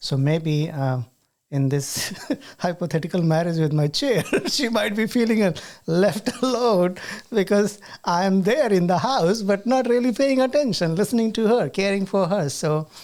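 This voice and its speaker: Someone with an Indian accent speaks at a moderate pace. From rural India. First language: Hindi. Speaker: podcast host and university teacher. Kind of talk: casual chat.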